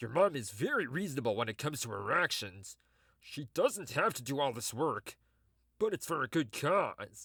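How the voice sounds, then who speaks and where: In a very clean recording with a silent background and a dry, close sound with no echo, a put-on character voice swings very widely in pitch at a moderate pace. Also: man, fairly high pitch for a man. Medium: audio drama. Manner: awkward, warm.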